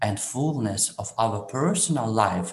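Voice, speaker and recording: A man speaks with a medium pitch and lively intonation. His voice is somewhat breathy. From Ukraine. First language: Ukrainian. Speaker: priest. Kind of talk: interview. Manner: halting.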